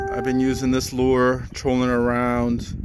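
There is music in the background as a man speaks. The sound is dry, without echo. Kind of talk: casual vlog chat. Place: waterside. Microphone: phone near.

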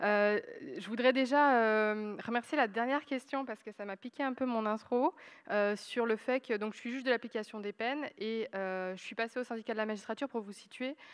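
A woman's fairly high voice at a moderate pace, with ordinary pitch variation, big swings in loudness and a quiet background. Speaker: judge; panelist, judge. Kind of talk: panel discussion. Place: stage. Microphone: handheld.

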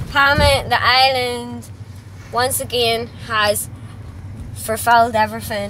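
A woman at a very slow pace, with long, frequent pauses, dry sound with no echo, and light background noise. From Northern Ireland. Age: 30s. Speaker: vlogger; travel vlogger. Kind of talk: casual travel vlog; casual vlog chat. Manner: stumbling over words. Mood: cheerful, chatty. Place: car. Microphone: phone near.

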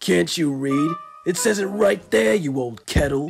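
Putting on a character voice, a man speaks at a fairly high pitch. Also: moderate pace. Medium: audio drama. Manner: rude, insulting.

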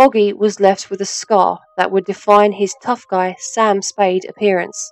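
A woman's speech moves at a moderate pace, her pitch medium. Music can be heard behind her. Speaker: voice actor. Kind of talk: documentary narration.

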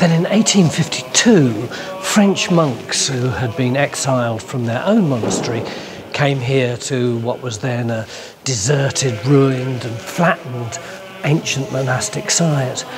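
A man speaks at a fairly slow pace. Clear music can be heard behind him. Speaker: presenter. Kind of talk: documentary narration to camera. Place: church. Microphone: lapel.

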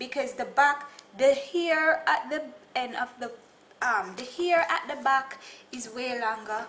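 A woman's high-pitched voice, fairly slow in pace, with ordinary pitch variation. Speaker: hair vlogger. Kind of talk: casual vlog chat. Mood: cheerful. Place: home room. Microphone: webcam.

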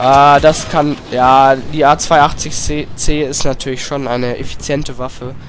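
Over noticeable background noise, a man with a fairly high pitch talks very slowly in a monotone, flat intonation with hardly any pauses. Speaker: gaming YouTuber. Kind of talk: let's play commentary. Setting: home room with headset.

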